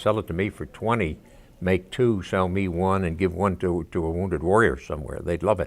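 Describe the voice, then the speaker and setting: With an American accent and vocal fry, a man speaks in a very deep, low pitch at a moderate pace with ordinary pitch variation. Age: 80s. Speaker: veteran, textile inventor. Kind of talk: documentary interview.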